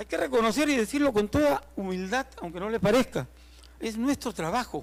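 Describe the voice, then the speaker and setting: A man's high-pitched voice with lively intonation. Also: moderate pace. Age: 70s. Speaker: archaeologist. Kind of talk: tribute speech.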